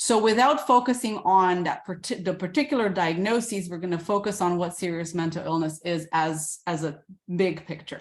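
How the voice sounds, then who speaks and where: A woman with a plain, everyday voice, medium pitch and ordinary pitch variation, at a moderate pace with hardly any pauses, on a very clean recording with a silent background. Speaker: psychiatrist. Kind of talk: lecture.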